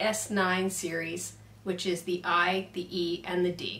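Audible room echo around a woman's fairly slow delivery. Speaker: product reviewer. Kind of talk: product review tutorial. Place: workshop.

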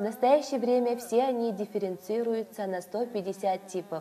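A woman's fairly high voice at a fairly slow pace, with noticeable background noise. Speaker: documentary narrator. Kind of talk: scripted narration. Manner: formal.

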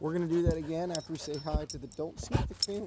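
A man talking at a very fast pace, dry sound with no echo, light background noise behind him. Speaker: fitness vlogger. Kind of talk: casual vlog chat. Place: garden. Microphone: phone near.

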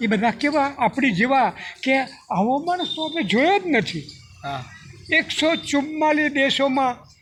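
Noticeable background noise sits behind a man. His pitch is extremely high, and his intonation is lively. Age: old. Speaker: community leader. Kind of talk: casual chat.

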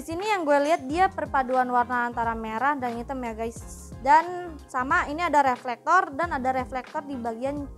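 The speech moves at a moderate pace with hardly any pauses and ordinary pitch variation. Faint music plays in the background. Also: woman, high pitch for a woman. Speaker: presenter. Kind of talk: product review chat. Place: shop. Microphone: lapel.

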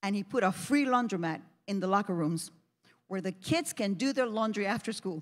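Against a quiet background, a woman with an American accent talks at a fairly quick pace in an animated tone with lively intonation. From New Jersey. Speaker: pastor. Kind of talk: sermon. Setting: church. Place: church. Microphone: handheld.

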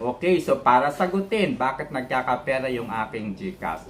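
Lively intonation marks speech delivered at a fairly slow pace. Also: man. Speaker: data scientist and university lecturer. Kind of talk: self-introduction monologue to camera. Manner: hesitant, many fillers.

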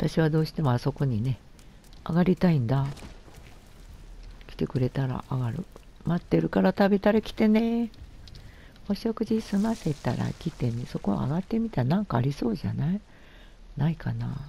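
Speaking in a gentle, somewhat breathy, dark and mellow tone, a woman with a very deep, low pitch makes very wide pitch swings and leaves long, frequent pauses. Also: moderate pace. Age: 70s. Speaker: gamer. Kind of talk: gameplay commentary. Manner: gentle, chatty.

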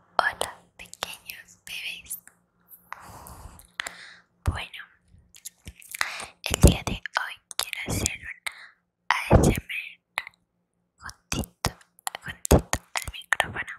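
A woman speaks at a fairly slow pace with long, frequent pauses and big swings in loudness. Light background noise runs underneath. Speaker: ASMR creator. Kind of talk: soft whispered ASMR intro chat. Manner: soft close-mic ASMR whisper. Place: home room. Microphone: lapel.

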